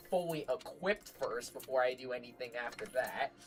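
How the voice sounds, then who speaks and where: The voice carries an animated tone. Music plays in the background. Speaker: gaming streamer. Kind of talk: live gameplay stream. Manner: casual, animated; loud.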